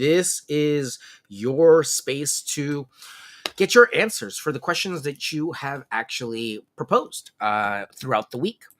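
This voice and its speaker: A loud man speaks at a very slow pace in a fairly high voice, his pitch swinging very widely, with a dry, close sound and no echo. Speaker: realtor. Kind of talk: live Q&A stream. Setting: livestream with chat. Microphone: no microphone, room sound.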